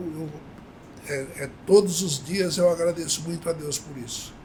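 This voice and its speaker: A man with a fairly high voice speaks with long, frequent pauses and big swings in loudness over noticeable background noise. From Brazil, São Paulo state interior (Avaré). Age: 70s. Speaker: company cofounder, retired banker. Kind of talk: podcast interview. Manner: halting, many fillers.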